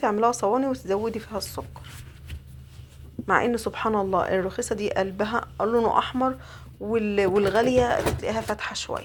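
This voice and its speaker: A woman with a fairly high voice talks in a fairly even intonation. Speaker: home cook. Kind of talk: cooking tutorial. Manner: casual, chatty.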